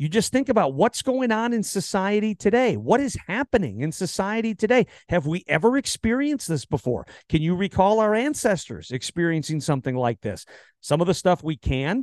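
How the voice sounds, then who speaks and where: A man's high-pitched voice with an American accent, very wide pitch swings and a fairly quick pace against a quiet background. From US Midwest, Wisconsin. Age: 40s. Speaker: podcast host, ministry founder. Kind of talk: interview podcast, casual faith chat.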